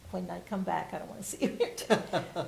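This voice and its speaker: A woman is speaking. Her voice carries audible room echo and noticeable background noise. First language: Spanish. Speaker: retired bilingual teacher. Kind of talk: oral history interview. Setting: university library, on camera.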